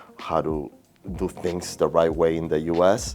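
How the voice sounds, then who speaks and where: A man with a strong Peruvian accent talks at a moderate pace, his very deep, low pitch showing ordinary variation. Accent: thick Peruvian Spanish. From Peru (Lima). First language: Spanish. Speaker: realtor. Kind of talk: interview. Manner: halting, repeats words.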